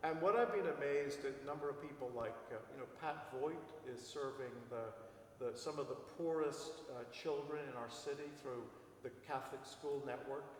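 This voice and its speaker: A man talks at a moderate pace with a fairly high pitch and fairly even intonation. Audible room echo and noticeable background noise are present in the recording. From Ireland. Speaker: priest. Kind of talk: interview.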